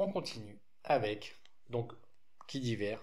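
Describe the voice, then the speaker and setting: Somewhat breathy, a man speaks at a very slow pace amid audible room echo. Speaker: card game youtuber. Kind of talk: deck presentation tutorial. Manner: casual with frequent hesitations.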